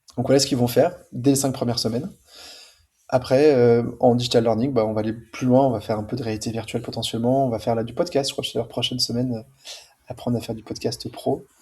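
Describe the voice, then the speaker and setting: A man with medium pitch and fairly even intonation speaks at a very fast pace, broken by long, frequent pauses. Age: 40s. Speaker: school founder and entrepreneur. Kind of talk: podcast interview. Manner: casual.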